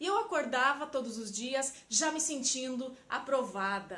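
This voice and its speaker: A woman with a Paraná accent speaks in a raised, projected voice at a high pitch. Her pace is fairly slow and her intonation lively. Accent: Paraná Brazilian Portuguese. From Paraná, southern Brazil. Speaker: emotional intelligence coach. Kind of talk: personal story to camera.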